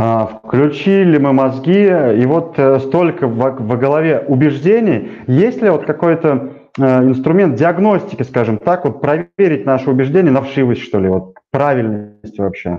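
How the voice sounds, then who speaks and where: A man's fairly high voice with lively intonation, very even loudness and a fairly slow pace, music playing in the background. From rural Russia. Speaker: show host. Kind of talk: casual interview. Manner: halting.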